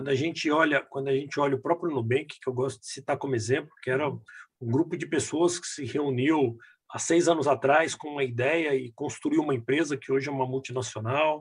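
A man talks fairly quickly at a fairly high pitch. His voice is somewhat breathy, with fairly even intonation. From Brazil, Minas Gerais (Belo Horizonte). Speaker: business executive. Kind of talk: casual interview. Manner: halting, repetitive fillers.

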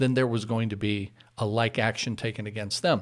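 Ordinary pitch variation from a man, in a very clean recording with a silent background. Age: 50s. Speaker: pastor. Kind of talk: casual chat. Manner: halting.

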